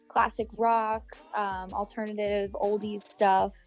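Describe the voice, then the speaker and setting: With music in the background, a woman with an American accent speaks fairly slowly in a fairly high voice. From Bucks County, Pennsylvania. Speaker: singer-songwriter. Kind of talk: interview answer.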